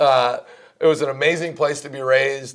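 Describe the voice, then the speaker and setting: A man with a slight Minnesota accent speaks at a fairly high pitch. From Minnesota, near Canadian border. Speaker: college basketball coach. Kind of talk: interview.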